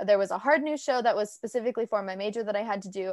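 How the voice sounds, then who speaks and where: With an American accent and an energetic tone, a woman speaks at a fairly high pitch with ordinary pitch variation. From Orange County, California. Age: 20s. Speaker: young podcast host. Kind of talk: casual interview.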